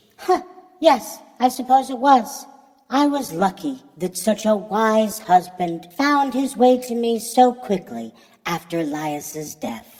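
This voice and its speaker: A man's put-on character voice, high-pitched, with lively intonation at a fairly slow pace. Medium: read story. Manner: calm, gentle.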